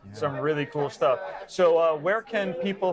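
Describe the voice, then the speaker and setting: Speaking at a moderate pace, a man is heard over noticeable background noise. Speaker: interviewer, photography show host. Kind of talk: casual interview questions.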